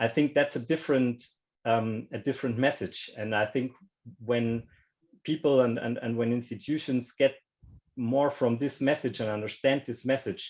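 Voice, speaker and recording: A fairly slow delivery in a German accent, with fairly even intonation. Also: man. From Germany. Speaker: banking industry panelist. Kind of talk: panel discussion. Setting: online video call. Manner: halting, many repetitions and fillers.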